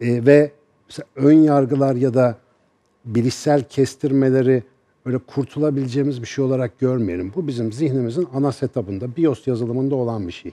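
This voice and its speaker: His tone is dark and mellow. The man speaks at a moderate pace with ordinary pitch variation. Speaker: neuroscience professor. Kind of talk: TV panel discussion. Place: studio. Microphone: headset.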